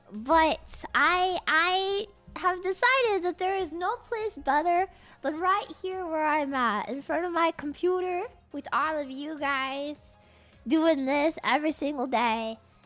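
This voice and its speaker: Music plays behind a woman whose extremely high voice moves with lively intonation at a fairly slow pace. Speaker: vtuber streamer. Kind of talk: casual livestream chat. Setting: home computer livestream. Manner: animated.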